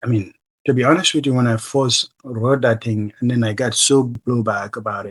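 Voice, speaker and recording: A man talks with a West African accent. His intonation stays fairly even. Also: medium pitch for a man, moderate pace. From The Gambia. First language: Mandinka. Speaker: human rights advocate, political asylee. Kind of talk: interview answer.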